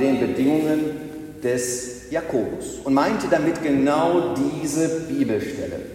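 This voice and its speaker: Over noticeable background noise, a man with a fairly high pitch and ordinary pitch variation speaks at a very slow pace. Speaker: pastor. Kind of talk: sermon in church, delivered to the congregation with a rhetorical build-up. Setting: church.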